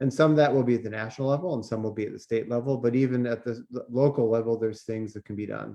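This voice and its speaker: His tone is dark and mellow, at a medium pitch with fairly even intonation. The man speaks very fast, with hardly any pauses. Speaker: climate activist and teacher. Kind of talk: prepared talk at a town hall forum. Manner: many fillers and hesitations.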